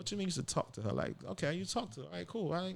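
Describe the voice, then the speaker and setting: With vocal fry and an animated tone, a man speaks at a very fast pace and a fairly high pitch, his pitch swinging very widely. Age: 40s. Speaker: podcast host. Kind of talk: casual chat. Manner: halting.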